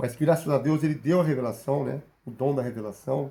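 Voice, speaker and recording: The speaker has a dark, mellow tone, somewhat breathy, at a moderate pace. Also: man. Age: 40s. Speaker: bible teacher. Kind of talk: sermon. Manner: halting.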